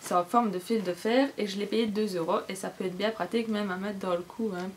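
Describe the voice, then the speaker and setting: Over noticeable background noise, a woman speaks fairly quickly at a medium pitch with fairly even intonation. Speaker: beauty vlogger. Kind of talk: casual haul vlog. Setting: cluttered room at home. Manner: fast.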